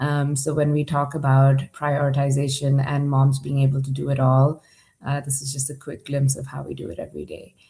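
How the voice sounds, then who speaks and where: A somewhat breathy, dark, mellow tone with monotone, flat intonation, a fairly quick pace and big swings in loudness. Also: woman, very deep, low pitch for a woman. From Dubai, UAE (Indian family). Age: 40s. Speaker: startup accelerator leader and conference speaker. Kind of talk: conference presentation.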